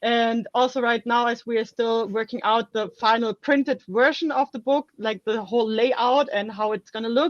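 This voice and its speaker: A woman's fairly high voice with a German accent, fairly even intonation, moderate pace and hardly any pauses, dry and close with no echo. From Germany. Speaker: author. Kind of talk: casual interview chat.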